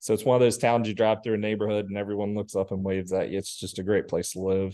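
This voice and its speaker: With a West Virginia accent, a man talks very fast in a fairly low pitch, his tone dark and mellow and his intonation flat and monotone, over a quiet background. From West Virginia, Upshur County. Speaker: small business owner. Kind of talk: casual interview chat.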